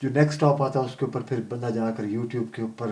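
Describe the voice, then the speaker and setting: A man speaks in a medium pitch with monotone, flat intonation. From Pakistan. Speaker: long-distance cyclist; computer programmer. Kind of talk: interview answer.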